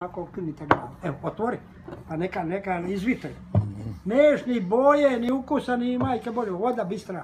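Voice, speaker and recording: A man speaks at a moderate pace with a high pitch, with noticeable background noise behind him. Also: lively intonation. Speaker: boat captain. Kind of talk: casual conversation over lunch.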